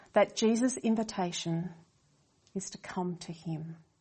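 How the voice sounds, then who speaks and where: Somewhat breathy, the woman's voice shows an ordinary amount of pitch movement. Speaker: preacher. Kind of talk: sermon.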